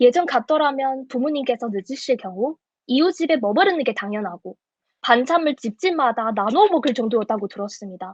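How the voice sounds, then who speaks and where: A high-pitched woman's voice at a moderate pace, dry and close with no echo. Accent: Chinese. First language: Chinese (speaking Korean). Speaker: speech contest contestant. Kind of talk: prepared speech; judge Q&A answers.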